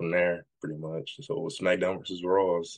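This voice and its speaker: A man's very deep, low voice with a Southern US accent, at a fairly quick pace with ordinary pitch variation. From US South, Jackson, Tennessee. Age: 20s. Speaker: pro wrestler. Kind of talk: interview.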